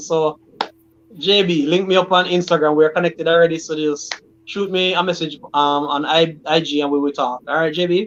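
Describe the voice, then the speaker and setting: A man with a high voice talks at a fairly quick pace with ordinary pitch variation over noticeable background noise. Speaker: livestream host; teacher. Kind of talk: casual live chat. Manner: fast.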